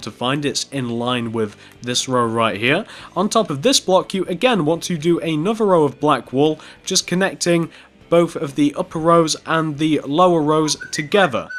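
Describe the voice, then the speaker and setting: His pitch fairly high, a man talks with very wide pitch swings. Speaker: Minecraft tutorial youtuber. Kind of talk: tutorial. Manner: stuttering, stumbling over words.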